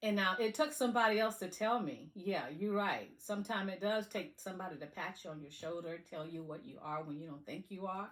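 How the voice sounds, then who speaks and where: In an animated tone with a Southern accent, a woman talks with hardly any pauses and big swings in loudness. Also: medium pitch for a woman, lively intonation, fairly quick pace. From US South. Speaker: motivational speaker. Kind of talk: motivational talk.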